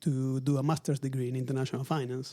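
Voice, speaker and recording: Speaking at a very fast pace, a man with an Argentine accent keeps a medium pitch in a monotone, flat intonation. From Argentina, Buenos Aires. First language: Spanish. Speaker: luxury retail executive. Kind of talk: interview. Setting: in person at company headquarters.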